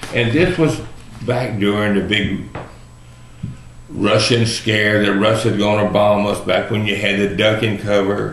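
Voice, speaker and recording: Amid noticeable background noise and audible room echo, a man with a Texan accent speaks at a fairly low pitch and a fairly slow pace, his loudness very even and his intonation fairly even, with long, frequent pauses. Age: 60s. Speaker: video blogger. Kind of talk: personal monologue. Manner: casual, folksy.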